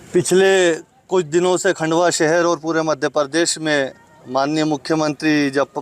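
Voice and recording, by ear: A man's fairly high voice shows little pitch movement at a moderate pace.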